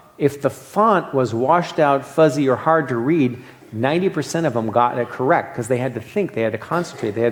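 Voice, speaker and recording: Speaking at a fairly quick pace, a man with an American accent has a medium pitch and ordinary pitch variation. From US East. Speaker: medical board exam lecturer. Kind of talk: lecture. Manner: fast; halting.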